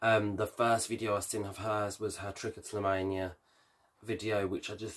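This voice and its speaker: A man speaks at a moderate pace with a fairly low pitch and monotone, flat intonation. The recording is very clean, with a silent background. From Birmingham, England. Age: 20s. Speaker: vlogger and hairdresser. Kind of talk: casual Q&A vlog. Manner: hesitant, many fillers.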